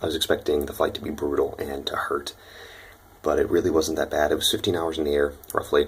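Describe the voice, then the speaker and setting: A quiet man with an American accent talks at a fairly quick pace over noticeable background noise. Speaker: exchange student vlogger. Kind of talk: casual vlog. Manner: quiet, talking low; hesitant, many fillers.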